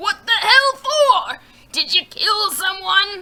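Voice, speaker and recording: A put-on character voice at an extremely high pitch, delivered at a very slow pace. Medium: read story. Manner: gruff, curt.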